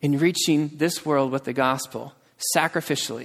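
A plain, everyday voice: a man with an American accent, fairly high pitch and fairly even intonation, on a very clean recording with a silent background. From United States. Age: 20s. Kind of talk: sermon. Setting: church.

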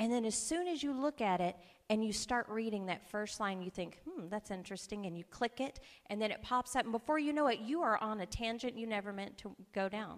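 Speaking at a fairly quick pace in a normal speaking voice, a woman with a fairly high pitch uses lively intonation. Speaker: preacher. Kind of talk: sermon. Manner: warm, conversational, humorous.

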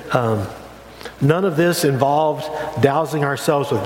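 Noticeable background noise sits behind the voice. A man speaks with a fairly high pitch. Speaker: pastor. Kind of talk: sermon. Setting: church. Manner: hesitant, many fillers and repetitions.

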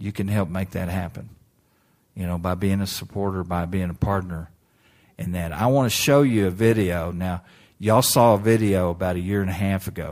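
On a very clean recording with a silent background, a man with a very deep, low voice speaks at a fairly quick pace with ordinary pitch variation. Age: 60s. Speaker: missionary evangelist. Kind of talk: sermon. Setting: church.

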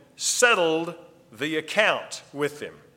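A fairly high man's voice at a very slow pace, with audible room echo and noticeable background noise. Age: 50s. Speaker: pastor. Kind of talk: sermon. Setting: church.

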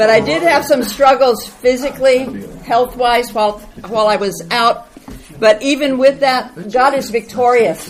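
Loud and high-pitched, a woman speaks at a fairly slow pace with ordinary pitch variation. Noticeable background noise is present. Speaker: church member reporting on mission trip. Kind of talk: testimony.

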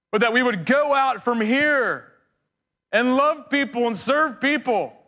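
Raised and projected, a man's voice has a bright, sharp tone in a very clean recording with a silent background. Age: 40s. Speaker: pastor. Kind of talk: sermon. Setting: church.

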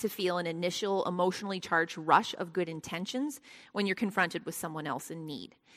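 In a very clean recording with a silent background, a woman at a medium pitch talks at a fairly quick pace with ordinary pitch variation. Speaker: Bible study teacher. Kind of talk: Bible study lesson with prayer. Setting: church Bible study, recorded for podcast. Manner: uses filler words, conversational.

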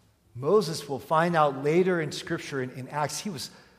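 With lively intonation, a man talks at a fairly slow pace amid audible room echo. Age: 40s. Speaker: pastor. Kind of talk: sermon.

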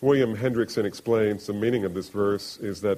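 An unforced reading voice. It is read aloud.

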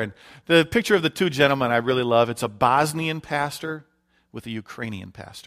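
A man with an American accent talks at a very fast pace, his pitch in the medium range and varying in an ordinary way. The recording is very clean, with a silent background. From US Midwest, Detroit, Michigan. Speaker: missionary. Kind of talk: sermon. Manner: hesitant, frequent fillers.

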